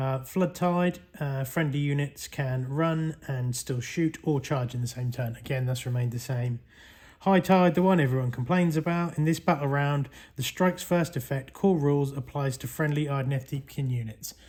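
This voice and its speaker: The speaker has a Norfolk accent and a moderate pace. The recording is very clean, with a silent background. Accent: Norfolk country. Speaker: tabletop gaming YouTuber. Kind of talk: product review. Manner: casual, hesitant with fillers.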